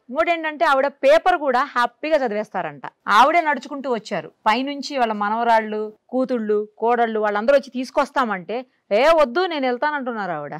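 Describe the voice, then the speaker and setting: A woman's high-pitched voice with lively intonation on a very clean recording with a silent background. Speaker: interviewer. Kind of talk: TV show introduction to camera.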